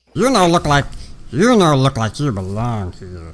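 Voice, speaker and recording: Using a put-on character voice, a man speaks at a fairly slow pace with medium pitch. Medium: actual play. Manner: broken clipped speech.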